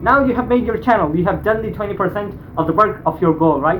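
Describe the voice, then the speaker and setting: Over noticeable background noise, a man with a non-native accent speaks in a high pitch with lively intonation. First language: not English. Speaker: YouTuber reacting to videos. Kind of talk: reaction video commentary. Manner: halting, repeats words.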